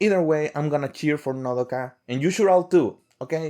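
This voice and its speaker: With a non-native accent, a man speaks at a moderate pace and with lively intonation. The recording is very clean, with a silent background. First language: not English. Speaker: fan vlogger. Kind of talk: casual monologue to camera. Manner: halting, with repeated words.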